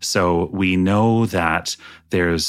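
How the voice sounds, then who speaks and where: Very deep and low in pitch, a man with a Canadian accent speaks with fairly even intonation on a very clean recording with a silent background. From British Columbia, Canada. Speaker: climate tech nonprofit founder. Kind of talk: interview.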